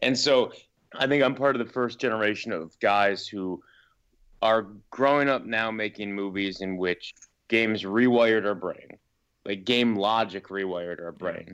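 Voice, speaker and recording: An unremarkable speaking voice belongs to a man with a fairly low pitch and ordinary pitch variation. He talks at a moderate pace against a quiet background. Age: 30s. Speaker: filmmaker. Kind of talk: casual chat.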